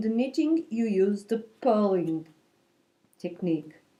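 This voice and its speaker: A woman with a Portuguese accent speaks at a fairly high pitch in a dark, mellow tone. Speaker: knitting videocaster. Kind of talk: tutorial. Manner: halting, with fillers.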